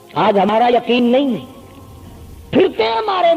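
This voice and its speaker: A man is speaking. Music plays in the background. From Pakistan, Punjab (Multan). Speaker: Islamic preacher. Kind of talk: religious sermon.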